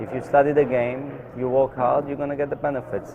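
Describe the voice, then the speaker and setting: Noticeable background noise sits behind a man's voice. He speaks at a moderate pace and medium pitch. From Israel, Tel Aviv. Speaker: professional pool player. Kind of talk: interview. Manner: hesitant, many fillers.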